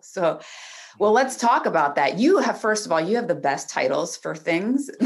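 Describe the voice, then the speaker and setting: A woman's medium-pitched voice with vocal fry, very wide pitch swings and a moderate pace. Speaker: podcast host. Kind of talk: casual interview.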